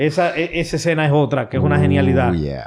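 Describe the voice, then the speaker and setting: This man's voice sits fairly high in pitch, and he talks at a fairly quick pace. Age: 40s. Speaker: podcast host. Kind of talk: casual chat. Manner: animated.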